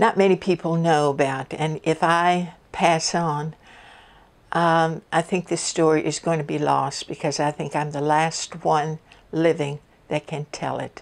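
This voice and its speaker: On a very clean recording with a silent background, a woman with a Virginia accent speaks at a fairly slow pace and a fairly low pitch. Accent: Virginia Southern American. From US South, Richmond, Virginia. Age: 80s+. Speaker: oral history storyteller. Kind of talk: personal testimony. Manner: hesitant, many fillers.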